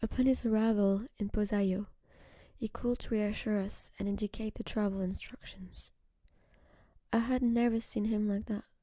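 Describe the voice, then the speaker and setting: A woman speaks at a fairly high pitch with a dark, mellow tone that is somewhat breathy. Her moderate pace holds monotone, flat intonation and long, frequent pauses. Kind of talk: ASMR short story reading, first-person narration. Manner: whispered, soft-spoken, relaxing.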